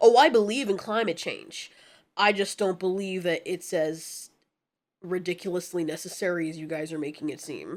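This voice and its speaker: A woman puts on a raspy character voice at medium pitch. She speaks at a moderate pace on a very clean recording with a silent background. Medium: actual play. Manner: laid-back, smug.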